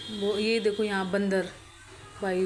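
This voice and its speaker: Noticeable background noise and audible room echo around a female speaker. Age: young. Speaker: vlogger. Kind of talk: vlog narration over travel footage. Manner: halting, faltering voice; casual, conversational.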